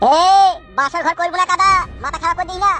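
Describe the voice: A man puts on a character voice, pitched extremely high, with a bright, sharp tone and fairly even intonation. He talks fast over faint background music, and the sound is dry and close with no echo.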